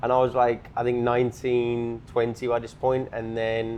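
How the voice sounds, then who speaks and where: This man talks at a medium pitch with a British accent. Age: 20s. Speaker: entrepreneur, sales. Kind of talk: casual podcast chat.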